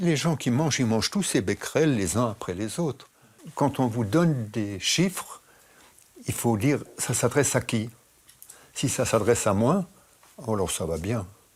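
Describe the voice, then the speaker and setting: A man speaks at a medium pitch with very wide pitch swings. His pace is fairly slow, with long, frequent pauses. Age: 80s+. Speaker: interviewee, radiation expert. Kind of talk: interview. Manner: halting.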